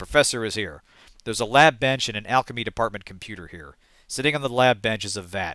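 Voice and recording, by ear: The passage is read aloud in a natural voice. Its pitch changes in an ordinary way.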